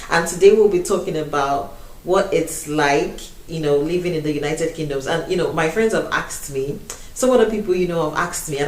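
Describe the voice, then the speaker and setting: A woman with a Nigerian accent speaks at a moderate pace and a fairly low pitch with ordinary pitch variation, amid noticeable background noise and audible room echo. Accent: Nigerian accent retained. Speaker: YouTuber. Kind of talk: casual chat. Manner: animated.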